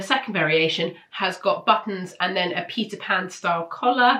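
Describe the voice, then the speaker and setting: Speaking in a British accent, a woman keeps her voice at a medium pitch. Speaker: sewing pattern reviewer. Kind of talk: casual product roundup. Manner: casual, hesitant with fillers.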